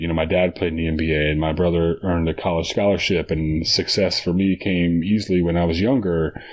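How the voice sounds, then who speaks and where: Speaking with an American accent, a man with a very deep, low pitch keeps a moderate pace and fairly even intonation. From Texas. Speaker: basketball coach and former college player. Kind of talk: podcast interview. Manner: halting, many repeated words and fillers.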